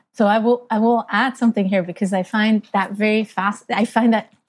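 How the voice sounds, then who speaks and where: Recorded dry and close with no echo, a woman speaks at a fairly quick pace in a medium pitch, somewhat breathy and with fairly even intonation. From Switzerland, small town. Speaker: mobility consultancy founder and CEO. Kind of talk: interview. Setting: video call.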